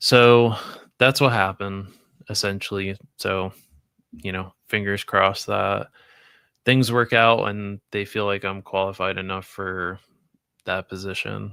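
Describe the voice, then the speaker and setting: A loud man at a fairly low pitch, bright and sharp in tone, with monotone, flat intonation, a fairly slow pace and long, frequent pauses, on a very clean recording with a silent background. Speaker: toy collecting streamer. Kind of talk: casual livestream chat. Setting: live stream.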